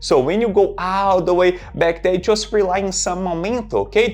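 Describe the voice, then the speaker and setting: Over background music, a man with a strong Brazilian accent speaks at a moderate pace. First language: Portuguese. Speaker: fitness trainer. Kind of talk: tutorial.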